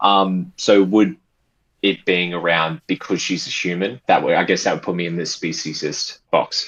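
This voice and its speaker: In an Australian accent, the speaker moves at a moderate pace with ordinary pitch variation. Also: man, very deep, low pitch for a man. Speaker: caller. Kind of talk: debate. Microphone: cutting out.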